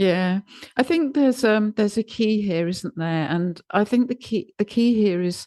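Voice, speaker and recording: The background stays quiet. A woman's voice has a dark, mellow tone. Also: dry, close sound with no echo. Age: 60s. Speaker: podcast host. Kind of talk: conversational interview.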